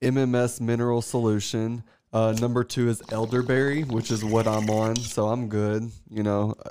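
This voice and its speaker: In a Southern US accent, a man speaks at medium pitch with a dark, mellow tone. His pace is moderate and his intonation is flat and monotone. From US South, Tennessee. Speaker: astrologer and artist, podcast guest. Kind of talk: casual chat. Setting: studio.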